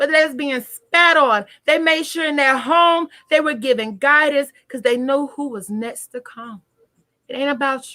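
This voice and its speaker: Her voice raised and projected, a woman speaks at a high pitch and moderate pace in an animated tone, with big swings in loudness. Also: ordinary pitch variation. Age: 20s. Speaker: tarot reader. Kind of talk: live stream talk.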